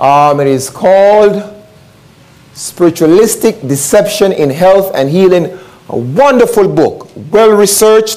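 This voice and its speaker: Speaking at a fairly slow pace, a man uses lively intonation. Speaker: pastor preaching. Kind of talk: sermon. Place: church. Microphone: lapel.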